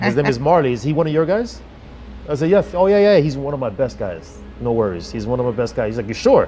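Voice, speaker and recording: Over music in the background, a man talks very fast at a medium pitch, his pitch swinging very widely. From New York. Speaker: auto transport business owner. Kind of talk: interview. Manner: well spoken, articulate.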